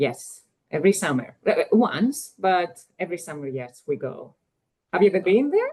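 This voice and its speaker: With a Greek accent, a woman speaks at a moderate pace in a dark, mellow tone, with very wide pitch swings and big swings in loudness. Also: medium pitch for a woman. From Greece. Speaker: economist. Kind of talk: interview.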